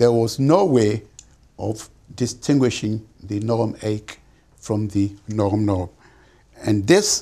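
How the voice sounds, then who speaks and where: The background is quiet as a man speaks at a very slow pace. His intonation is fairly even. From Ghana. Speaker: physician and genetics professor; genetics professor. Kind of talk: lecture. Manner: formal. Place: home room.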